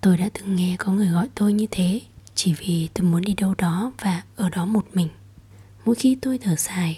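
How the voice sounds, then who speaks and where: A woman's somewhat breathy, dark, mellow voice at a fairly slow pace with ordinary pitch variation. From southern Vietnam. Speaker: podcast host. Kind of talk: personal monologue. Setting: home recording late at night.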